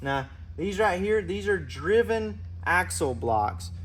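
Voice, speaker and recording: Somewhat breathy male voice of medium pitch, with very wide pitch swings. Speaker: motorcycle racer and YouTuber. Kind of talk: product showcase. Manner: animated.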